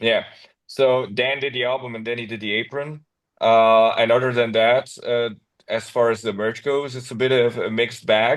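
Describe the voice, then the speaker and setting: Speaking with a non-native accent, a man keeps his intonation monotone and flat. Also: medium pitch for a man, moderate pace. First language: not English. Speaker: metal band vocalist. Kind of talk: casual interview.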